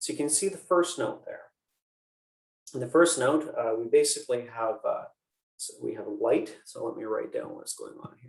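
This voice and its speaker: A man talks with long, frequent pauses and big swings in loudness. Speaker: university biology lecturer. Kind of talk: lecture. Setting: video call. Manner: fast; many fillers, uh and um.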